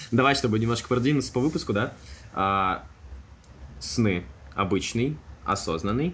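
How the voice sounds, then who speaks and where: A man with vocal fry keeps a very even loudness, leaving long, frequent pauses. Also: medium pitch for a man, lively intonation, moderate pace. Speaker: podcast co-host. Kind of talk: casual chat. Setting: studio.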